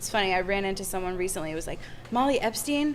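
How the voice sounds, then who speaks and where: Music plays in the background, and audible room echo fills the recording. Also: woman. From Michigan, US. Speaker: singer. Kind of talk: casual chat. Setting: bar.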